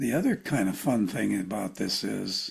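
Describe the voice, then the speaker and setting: A man talks at a fairly slow pace with lively intonation. Vocal fry runs through his voice. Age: 70s. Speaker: clinical psychologist and author. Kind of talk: interview conversation.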